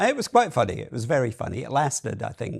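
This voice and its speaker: Recorded very cleanly against a silent background, a man speaks with vocal fry. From Scotland. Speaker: marketing executive. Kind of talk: podcast interview. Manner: hesitant, many fillers.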